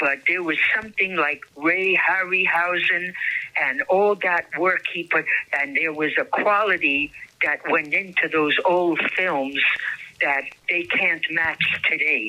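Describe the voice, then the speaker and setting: A woman's fairly low voice at a very slow pace, with very even loudness, ordinary pitch variation and noticeable background noise. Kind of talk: interview answer. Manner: hesitant, halting.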